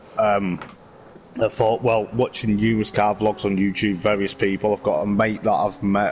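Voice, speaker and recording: A man with a West Midlands accent speaks in a fairly low pitch. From West Midlands, England. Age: 30s. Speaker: motorsport vlogger and sim racing driver. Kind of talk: casual interview chat.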